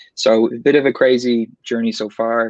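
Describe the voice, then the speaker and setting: In an Irish accent, a man speaks in a dry, close sound with no echo. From Ireland, Dublin. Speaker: tech account executive. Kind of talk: online panel interview.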